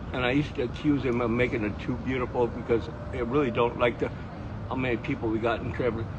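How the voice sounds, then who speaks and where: Over noticeable background noise and audible room echo, a man with an American accent talks at a very fast pace in a medium pitch, his intonation monotone and flat. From northern Michigan. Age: 70s. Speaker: puppeteer. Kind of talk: casual street conversation. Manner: halting.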